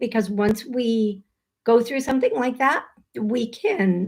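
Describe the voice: Putting on a squeaky character voice, a woman talks at a fairly slow pace with a fairly high pitch.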